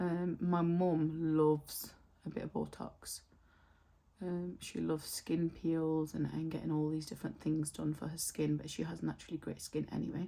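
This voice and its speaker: Using a British accent, a woman speaks at a moderate pace. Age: 30s. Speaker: beauty vlogger. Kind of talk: casual chat. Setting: home, filming in front of mirror.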